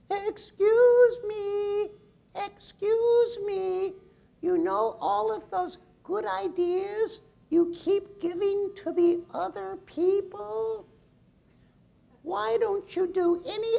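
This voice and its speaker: A put-on character voice at an extremely high pitch delivers the lines at a very slow pace. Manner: questioning.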